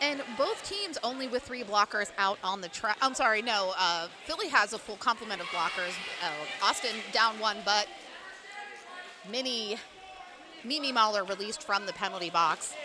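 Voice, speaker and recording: Speaking in an American accent, a woman with a fairly high voice sounds animated, her intonation lively, with long, frequent pauses and noticeable background noise. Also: moderate pace. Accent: Pittsburgh accent, mostly suppressed. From Pittsburgh area, US. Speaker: roller derby announcer. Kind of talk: live commentary. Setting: ice arena.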